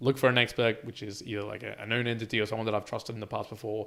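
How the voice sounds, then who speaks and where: A man talks in a medium pitch. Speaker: podcast co-host. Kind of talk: casual chat. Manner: repetitive false starts.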